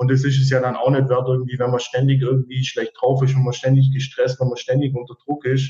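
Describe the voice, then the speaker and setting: A man talks at a fairly quick pace in a somewhat breathy voice, his intonation monotone and flat. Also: medium pitch for a man, hardly any pauses. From Allgäu, southern Germany. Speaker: service technician. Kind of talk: interview. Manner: hesitant, many fillers.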